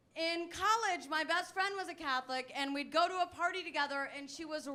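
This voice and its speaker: In a raised, projected voice, a woman speaks at a moderate pace with an extremely high pitch and a bright, sharp tone. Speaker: stand-up comedian. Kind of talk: stand-up. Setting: stage with audience.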